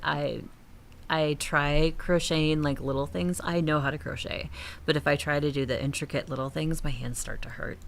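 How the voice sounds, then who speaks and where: A woman with a northern accent speaks at a moderate pace in a very deep, low voice, her pitch rising and falling by an ordinary amount. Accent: northern accent, slips out on certain words. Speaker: gaming streamer. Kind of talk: casual live-stream chat while gaming. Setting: home streaming studio. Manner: casual, chatty, many fillers.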